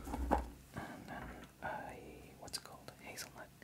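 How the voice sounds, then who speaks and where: A man is whispering. He goes at a very slow pace. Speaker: ASMR creator. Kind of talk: ASMR eating and tingle-test talk to camera. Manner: casual, relaxed, conversational. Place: home room.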